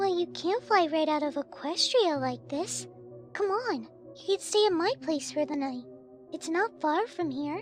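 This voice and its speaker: Over clear music in the background, a soft-spoken, high-pitched put-on character voice speaks at a moderate pace. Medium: read story. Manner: gentle, coaxing.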